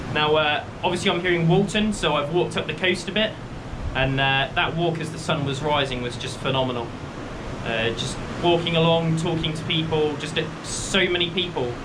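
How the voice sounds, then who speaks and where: A man speaks at a fairly quick pace with fairly high pitch and ordinary pitch variation. Audible room echo and noticeable background noise are present. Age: 20s. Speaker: walking vlogger. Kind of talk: casual vlog narration. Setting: outdoors. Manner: loud.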